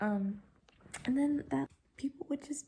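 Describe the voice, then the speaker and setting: A soft-spoken woman's whisper, somewhat breathy. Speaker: author and independent publisher. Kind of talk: casual talk to camera, vlog. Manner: whispered, soft-spoken.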